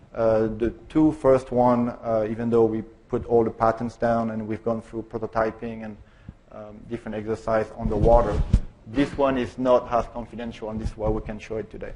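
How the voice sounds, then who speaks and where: With a French accent and a medium pitch, a man speaks at a moderate pace in a monotone, flat intonation, with big swings in loudness. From France. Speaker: car designer. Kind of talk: conference presentation. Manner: halting, many fillers.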